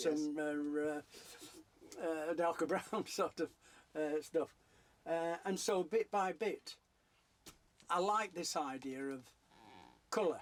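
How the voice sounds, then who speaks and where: Speaking with a Yorkshire accent, a man talks at a very slow pace with long, frequent pauses. His pitch is high, with ordinary variation. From South Yorkshire. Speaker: painter. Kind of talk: interview answer.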